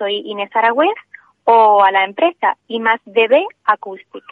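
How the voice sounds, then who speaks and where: A normal speaking voice with lively intonation at a fairly slow pace. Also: woman. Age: 20s. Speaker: acoustic engineer and entrepreneur. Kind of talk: radio interview.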